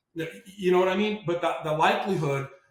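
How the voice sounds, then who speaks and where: The speaker talks at a fairly quick pace in a New York accent. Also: man. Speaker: marine veteran and litigation finance entrepreneur. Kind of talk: podcast interview.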